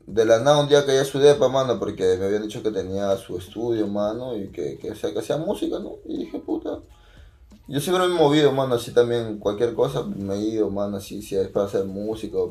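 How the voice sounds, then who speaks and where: A man with a dark, mellow tone talks at a fairly quick pace and medium pitch. His loudness swings by a large amount. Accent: Peruvian. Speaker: rapper. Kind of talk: casual chat.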